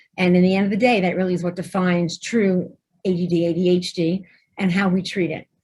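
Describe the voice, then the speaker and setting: Somewhat breathy and very fast, the voice carries an East Coast US accent. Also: woman, medium pitch for a woman. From New Jersey. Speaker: pediatrician. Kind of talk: webinar presentation. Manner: animated.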